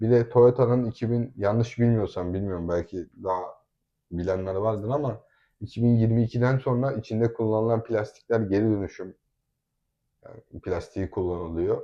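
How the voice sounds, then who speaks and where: The background is quiet. A man's tone comes across dark and mellow. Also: medium pitch for a man, ordinary pitch variation, moderate pace. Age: 20s. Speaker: family vlogger. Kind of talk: casual chat. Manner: animated.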